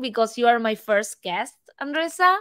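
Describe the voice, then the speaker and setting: A woman speaks with a Spanish accent at a high pitch. Her pace is fairly quick. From Argentina. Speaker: podcast host. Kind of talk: scripted intro; podcast interview.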